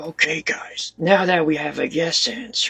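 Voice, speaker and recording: Putting on a character voice, a man speaks in a high, raspy pitch. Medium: solo performance.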